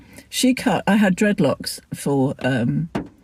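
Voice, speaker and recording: A woman's fairly low, somewhat breathy voice with a dark, mellow tone and an English accent. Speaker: lifestyle vlogger. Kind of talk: casual vlog chat. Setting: in a car. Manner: halting.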